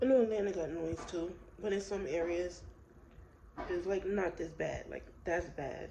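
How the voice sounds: A woman speaks at a moderate pace with a fairly low pitch, ordinary pitch variation, and a dark, mellow tone touched by vocal fry, with audible room echo around her.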